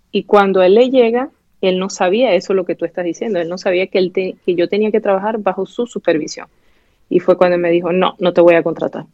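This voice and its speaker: Speaking at a fairly quick pace with a medium pitch and fairly even intonation, a woman talks with an eastern Venezuelan accent. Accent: eastern Venezuelan (El Tigre). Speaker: doctor. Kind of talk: interview.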